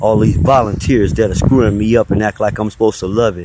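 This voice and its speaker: With a fairly low pitch, a man delivers his words at a moderate pace. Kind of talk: angry rant monologue. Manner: loud.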